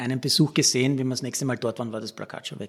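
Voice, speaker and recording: A man talks with fairly even intonation at medium pitch. It is a normal speaking voice. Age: 50s. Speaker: sports reporter and podcast host. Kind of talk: storytelling podcast narration.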